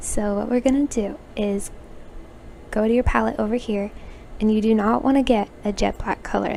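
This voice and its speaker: A woman with a fairly high pitch and fairly even intonation talks over noticeable background noise. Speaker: roblox designer and youtuber. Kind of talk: tutorial.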